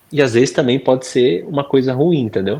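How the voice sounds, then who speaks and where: A man is speaking. His tone is dark and mellow. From Brazil, Bragança Paulista (São Paulo state). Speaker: professional footballer. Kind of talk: interview. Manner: casual conversational.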